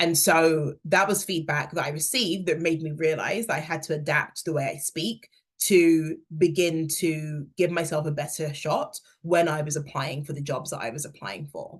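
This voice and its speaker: Speaking at a moderate pace, a woman with a very deep, low pitch sounds somewhat breathy and keeps her intonation fairly even. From England, London. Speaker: career workshop speaker, hiring manager. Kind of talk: workshop talk.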